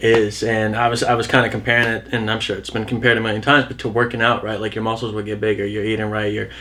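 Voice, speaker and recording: Noticeable background noise sits behind a man's medium-pitched voice. He speaks in a flat monotone with hardly any pauses. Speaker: musician. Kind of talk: casual chat.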